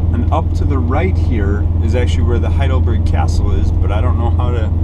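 Speech at a moderate pace competes with loud background noise. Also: man. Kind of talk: casual driving narration. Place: car. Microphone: camera far.

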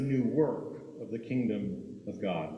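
A man's voice comes with audible room echo. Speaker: preacher. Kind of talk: sermon. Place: church. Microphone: podium.

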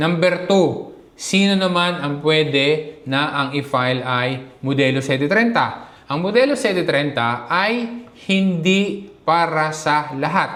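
Speaking very slowly in a room with audible echo, a man uses a fairly high pitch with ordinary pitch variation. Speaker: vlogger. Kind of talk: tutorial.

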